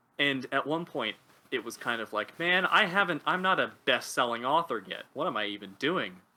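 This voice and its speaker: A man at a fairly high pitch and moderate pace, with very wide pitch swings. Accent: Pacific Northwest. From US Pacific Northwest (North Bend, Washington). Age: 20s. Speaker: linguist and writer. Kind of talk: casual interview conversation.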